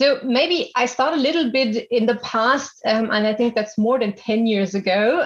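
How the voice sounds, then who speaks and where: Fairly slow and fairly even in intonation, a woman's speech comes through noticeable background noise. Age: 30s. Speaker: business executive. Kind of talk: interview.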